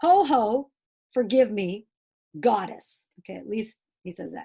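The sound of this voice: Lively intonation runs through an unforced reading voice over a quiet background.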